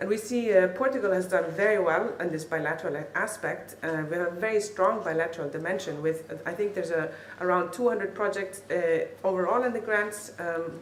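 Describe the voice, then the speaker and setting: Talking at a very fast pace in a room with audible echo, a woman uses medium pitch with ordinary pitch variation. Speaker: funding program representative. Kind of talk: conference speech. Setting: conference hall with audience and interpreter.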